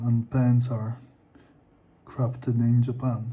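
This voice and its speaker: Somewhat breathy and dark, mellow in tone, a man with a non-native accent speaks at a very slow pace in monotone, flat intonation. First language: not English. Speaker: artist. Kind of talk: casual talk while drawing. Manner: halting.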